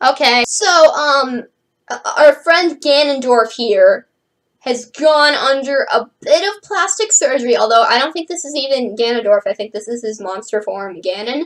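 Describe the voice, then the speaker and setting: A woman talks at a moderate pace with a high pitch. Her pitch swings very widely, and her loudness rises and falls sharply. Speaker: manga reviewer. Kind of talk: casual video review. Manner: animated.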